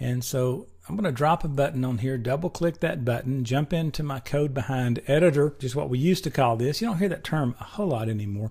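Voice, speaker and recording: Talking very fast with hardly any pauses, a man speaks at a fairly high pitch. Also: ordinary pitch variation. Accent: slight Tennessee. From Tennessee. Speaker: programming instructor. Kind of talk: tutorial. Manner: casual, conversational.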